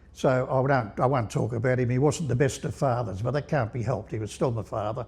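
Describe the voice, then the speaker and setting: A man talks at a very fast pace and medium pitch. His voice is somewhat breathy, with ordinary pitch variation. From England. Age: 80s+. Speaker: interviewee sharing life story. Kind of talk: casual interview chat. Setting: podcast recording. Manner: halting, many repeated words.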